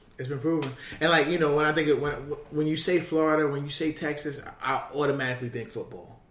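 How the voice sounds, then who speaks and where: Audible room echo surrounds a man with an American accent who speaks at a very fast pace and a fairly high pitch, his intonation fairly even. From New York, Queens. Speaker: basketball scout and podcast host. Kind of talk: casual chat.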